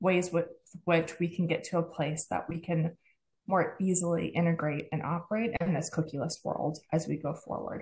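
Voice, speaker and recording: Speaking at a moderate pace, a woman with a fairly low pitch sounds somewhat breathy, her intonation fairly even. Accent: American. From United States. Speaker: advertising partnerships executive. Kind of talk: podcast interview.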